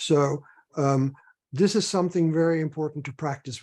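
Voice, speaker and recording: Speaking at a fairly slow pace against a quiet background, a man with a fairly high pitch has a dark, mellow tone that is somewhat breathy. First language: Dutch or other non-English. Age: 70s. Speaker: dreamwork teacher and author. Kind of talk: guided dreamwork demonstration. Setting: video call. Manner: hesitant, many fillers.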